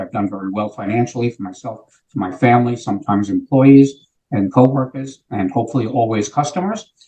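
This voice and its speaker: Speaking fairly quickly with an American accent, a man has a somewhat breathy, dark, mellow voice at a medium pitch with ordinary pitch variation. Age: 70s. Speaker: sales executive. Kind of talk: interview.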